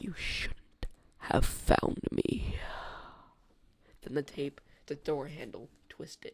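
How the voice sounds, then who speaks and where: A man whispering at a very slow pace, with long, frequent pauses and big swings in loudness. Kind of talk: horror story reading.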